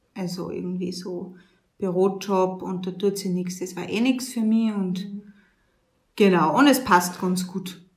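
At a very slow pace, a woman with a somewhat breathy voice of medium pitch speaks with fairly even intonation amid audible room echo. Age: 20s. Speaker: nun running a women's shelter. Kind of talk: interview. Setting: on location at the women's shelter, seated.

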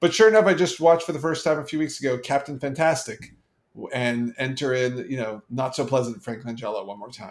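An unremarkable speaking voice from a man at a medium pitch, fairly quick, with lively intonation and big swings in loudness. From Canada. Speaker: podcast co-host. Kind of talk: casual chat.

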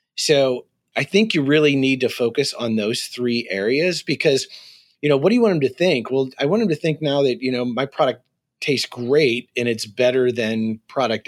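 A man talks in a normal speaking voice at a moderate pace and medium pitch, with ordinary pitch variation. The recording is very clean with a silent background, and the sound is dry and close with no echo. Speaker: marketing agency founder. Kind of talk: interview.

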